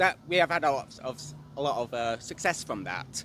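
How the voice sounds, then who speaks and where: A man with an English accent and vocal fry. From England. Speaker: member of the public. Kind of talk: street interview.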